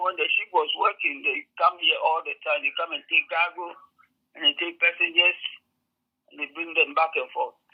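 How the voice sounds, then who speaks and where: A woman's voice at a moderate pace, with big swings in loudness. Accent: Ghanaian. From Ghana. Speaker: community member helping new African arrivals. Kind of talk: interview answer. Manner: hesitant, conversational.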